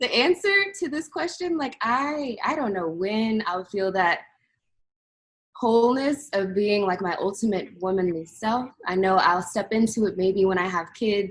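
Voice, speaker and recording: A woman's normal speaking voice, medium in pitch, with lively intonation at a fairly slow pace. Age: 20s. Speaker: interviewee in church ministry program. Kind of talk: interview conversation.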